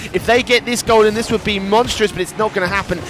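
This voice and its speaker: At a very fast pace, a man speaks at a high pitch over noticeable background noise. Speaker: esports commentator. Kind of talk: live commentary. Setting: studio.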